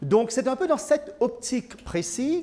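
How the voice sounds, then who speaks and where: A man speaks with a Mauritian accent. His intonation is lively. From Mauritius. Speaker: IT consultant. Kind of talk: presentation. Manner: hesitant, many fillers.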